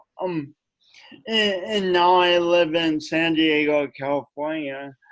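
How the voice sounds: Speaking slowly with an American accent, a man has a clear, smooth, fairly bright tone and a fairly high pitch.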